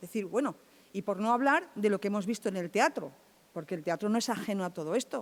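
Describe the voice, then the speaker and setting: A woman uses a normal speaking voice, talking at a moderate pace in a fairly high pitch. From Andalusia, Chiclana (Cádiz). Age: 60s. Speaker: film festival organizer. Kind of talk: panel talk.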